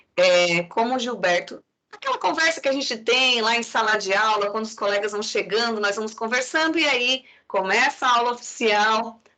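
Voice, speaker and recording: A woman's fairly high voice with a southern Brazilian accent, bright and sharp in tone, at a moderate pace with ordinary pitch variation. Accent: non-Pernambuco southern Brazilian. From Santa Catarina, Brazil. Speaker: psychology professor. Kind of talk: lecture.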